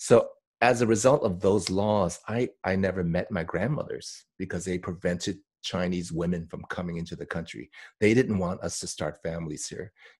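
Very deep and low, a man's voice moves at a moderate pace with ordinary pitch variation. His loudness swings widely in a very clean recording with a silent background. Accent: American. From US West Coast, Oakland. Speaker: actor. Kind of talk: casual interview chat.

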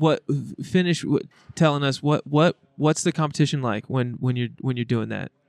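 With a plain, everyday voice, a man speaks at a moderate pace and a fairly high pitch with ordinary pitch variation, the sound dry and close with no echo against a quiet background. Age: 30s. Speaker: podcast host. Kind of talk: casual chat.

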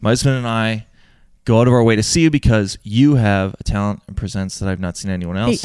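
Putting on a character voice, a man mumbles at a very fast pace. His pitch is medium. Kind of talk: flat reading of a letter. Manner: mumbled, rushed, skimming.

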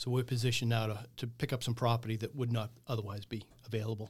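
Somewhat breathy and monotone, a man races along at a very fast pace in a very clean recording with a silent background. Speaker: business owner. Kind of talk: casual interview chat.

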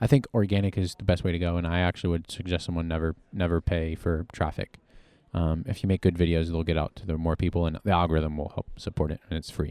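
Very fast speech comes from a man with a very deep, low, dark and mellow voice. The recording is very clean, with a silent background. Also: dry, close sound with no echo. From Virginia, US. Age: 20s. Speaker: online preacher and social media creator. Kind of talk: interview. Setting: convention venue.

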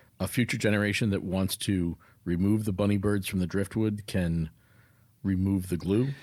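Speaking at a moderate pace, a man uses an ordinary speaking voice with a fairly low pitch and ordinary pitch variation. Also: very even loudness. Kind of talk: casual chat. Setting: video call.

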